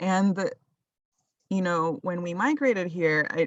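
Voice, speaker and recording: A woman with an unremarkable speaking voice, fairly low in pitch, lively in intonation and at a fairly slow pace. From Colombia, moved to US at about ten. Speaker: urban farmer. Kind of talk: casual interview.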